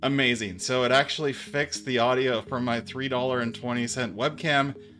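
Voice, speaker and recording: Faint music plays in the background while a man speaks. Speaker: tech reviewer. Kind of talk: tutorial. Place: studio.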